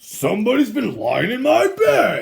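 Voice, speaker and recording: A man puts on a character voice, raspy in sound. His pitch is extremely high. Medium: read story.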